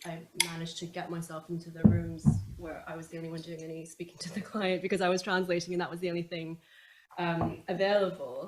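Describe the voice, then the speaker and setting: A fairly quick, monotone delivery with flat intonation over noticeable background noise. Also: woman. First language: Chinese. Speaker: commercial barrister. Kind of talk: panel discussion.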